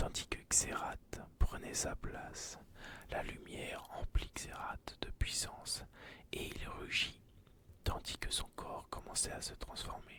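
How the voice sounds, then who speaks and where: Whispering in a calm tone, the speaker goes at a very slow pace. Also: man. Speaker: ASMR content creator. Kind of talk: ASMR whispered story narration for relaxation and sleep. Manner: whispered, soft, calm.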